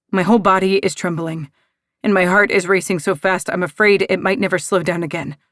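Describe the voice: Fairly even intonation runs through plain reading aloud. Behind it, the background stays quiet.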